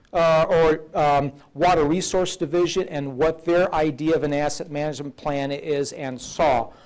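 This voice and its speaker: A man has an unremarkable speaking voice, pitched fairly high and paced moderately. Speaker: state agency presenter. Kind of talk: seminar presentation with Q&A.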